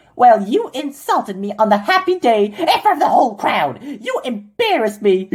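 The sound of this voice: In a cartoonish character voice, a woman speaks at high pitch with very wide pitch swings, a moderate pace and hardly any pauses.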